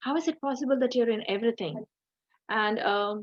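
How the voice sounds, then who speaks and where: A woman speaks in a plain, everyday voice. Her pitch is fairly high, with ordinary variation. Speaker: religious teacher. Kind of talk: online scripture class.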